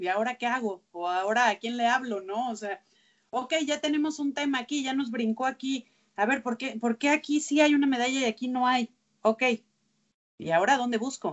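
Here is a woman with a high pitch. Her pitch variation is ordinary. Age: 30s. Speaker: sports journalist. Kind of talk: interview conversation. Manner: halting with repeated words.

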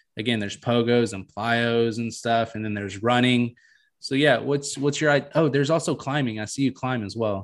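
A man with an ordinary speaking voice, medium pitch, ordinary pitch variation and a moderate pace, with a quiet background. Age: 20s. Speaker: podcast host. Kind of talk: casual chat.

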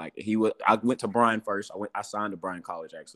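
With an East Tennessee accent, a man talks at a fairly quick pace and a fairly low pitch in a dry, close sound with no echo. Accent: East Tennessee Southern American. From US South, Morristown, Tennessee. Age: 20s. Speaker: professional basketball player. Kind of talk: interview, casual chat.

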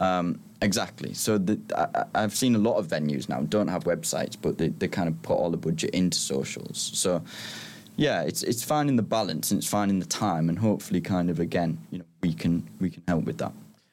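With a Teesside accent, the speaker's voice makes very wide pitch swings. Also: man, very deep, low pitch for a man. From northern England, Middlesbrough. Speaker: tech startup co-founder. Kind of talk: casual interview chat.

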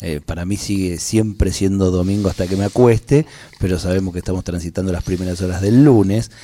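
Talking at a fairly quick pace, a man with very deep, low pitch and a dark, mellow tone shows ordinary pitch variation. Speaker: radio host. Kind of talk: radio interview. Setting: radio studio.

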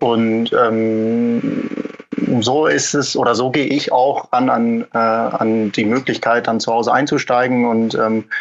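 The man's pitch sits at medium. His intonation is monotone and flat. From Germany, Münsterland. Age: 20s. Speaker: egg packing business manager. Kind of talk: interview. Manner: halting, many fillers.

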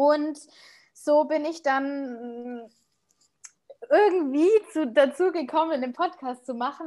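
In a Bavarian accent, a woman speaks against a quiet background. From Munich, Bavaria. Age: 30s. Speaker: podcaster. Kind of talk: interview.

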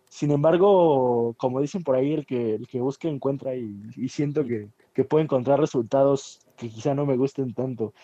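This man has a plain, everyday voice, medium in pitch, with ordinary pitch variation and a moderate pace. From Mexico City (Iztapalapa). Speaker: podcast co-host. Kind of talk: casual chat.

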